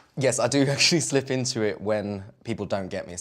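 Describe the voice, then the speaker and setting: The speaker has a British accent and talks at a fairly quick pace. Pitch varies in an ordinary way, while loudness swings widely. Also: man, medium pitch for a man. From Britain. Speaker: talk show guest.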